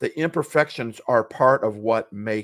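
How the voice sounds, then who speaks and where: In a very clean recording with a silent background and a dry, close sound with no echo, a man talks with ordinary pitch variation. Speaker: podcast co-host. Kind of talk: casual podcast chat. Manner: talking a bit fast.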